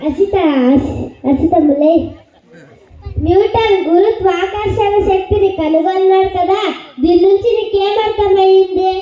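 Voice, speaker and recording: Someone in a put-on character voice speaks at a fairly slow pace. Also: woman, extremely high pitch for a woman, fairly even intonation, very even loudness. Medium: comedy sketch. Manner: exasperated, scolding.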